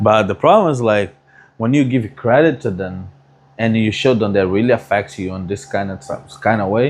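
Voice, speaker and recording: Speaking at a moderate pace with a Brazilian accent, a man uses a fairly low pitch and ordinary pitch variation. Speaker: barber. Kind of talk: casual chat.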